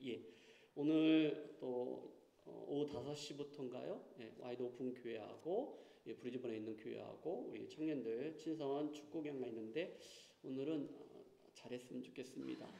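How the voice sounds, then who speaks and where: Audible room echo surrounds a man speaking at a moderate pace. His pitch is fairly high with ordinary variation. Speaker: pastor. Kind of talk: church announcements; sermon. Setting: church. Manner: halting, many fillers.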